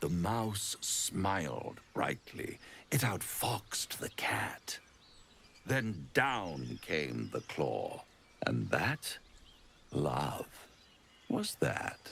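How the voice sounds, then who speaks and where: A man whispers in a put-on character voice at a very slow pace, with long, frequent pauses. Background noise is clearly audible. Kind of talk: villainous charm. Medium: video game. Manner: silky, theatrical, mocking.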